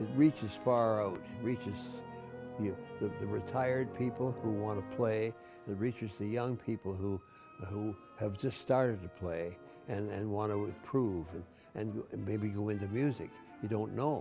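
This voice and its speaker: Music plays behind a man with a fairly low pitch. He speaks at a moderate pace with long, frequent pauses. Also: ordinary pitch variation. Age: 80s+. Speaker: bandmaster and conductor. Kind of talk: interview answer.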